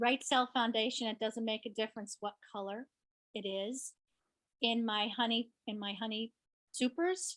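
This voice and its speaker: With an ordinary speaking voice, a woman talks at a moderate pace, her fairly high pitch showing ordinary pitch variation, in a dry, close sound with no echo. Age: 60s. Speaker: beekeeper. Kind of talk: presentation Q&A. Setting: conference session.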